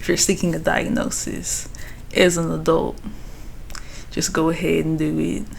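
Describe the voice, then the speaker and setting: There is audible room echo around the voice. A woman speaks at a fairly low pitch. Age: 20s. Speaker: vlogger. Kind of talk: personal vlog reflection. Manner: casual.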